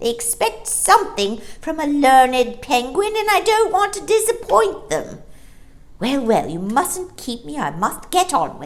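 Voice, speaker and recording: A woman uses a put-on character voice, high in pitch, at a moderate pace. Her pitch swings very widely. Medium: read story. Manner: fussy, thoughtful.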